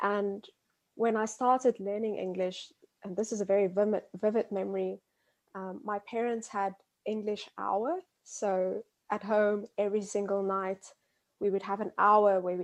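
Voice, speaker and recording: A woman with a medium pitch speaks in an Afrikaans South African accent, monotone and flat, at a moderate pace. The background is quiet. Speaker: biology graduate. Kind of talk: interview. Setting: remote call.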